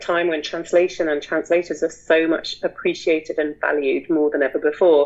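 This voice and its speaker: A woman speaks at a fairly quick pace in a normal speaking voice. Her pitch is fairly low. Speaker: literary translator and editor. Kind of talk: interview. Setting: video call.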